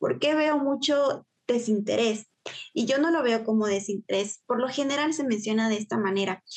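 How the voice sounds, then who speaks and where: A woman speaks at a moderate pace with very even loudness and ordinary pitch variation in an unremarkable speaking voice. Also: fairly high pitch for a woman. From Guatemala, Huehuetenango. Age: 20s. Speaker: university student and youth volunteer. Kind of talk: interview.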